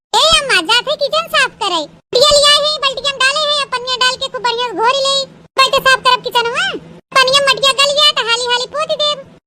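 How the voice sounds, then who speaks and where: A woman puts on a cartoonish character voice at an extremely high pitch, talking at a fairly quick pace with ordinary pitch variation. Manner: simple, earnest.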